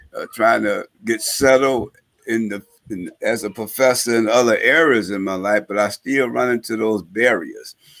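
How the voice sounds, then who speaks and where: A man with an unremarkable speaking voice talks at a medium pitch and a moderate pace, his intonation fairly even. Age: 60s. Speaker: former gang leader, reentry advocate and professor. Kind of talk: talk show interview. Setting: live-streamed talk show.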